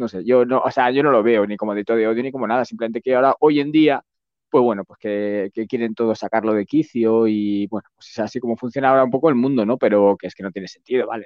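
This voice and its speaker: Talking at a very fast pace, a man with medium pitch keeps his intonation fairly even while his loudness swings widely. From Basque Country, Spain. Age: 50s. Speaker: lawyer and YouTuber. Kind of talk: interview. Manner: casual.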